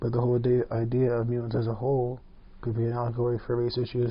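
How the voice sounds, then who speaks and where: Talking at a very fast pace, a man with a medium pitch sounds somewhat breathy and keeps a monotone, flat intonation. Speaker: podcast host. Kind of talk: casual podcast monologue. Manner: whispered.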